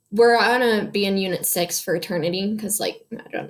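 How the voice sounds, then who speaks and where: There is audible room echo as a woman talks at medium pitch with fairly even intonation. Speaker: high school history teacher. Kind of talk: lecture. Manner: fast; casual, filler-heavy.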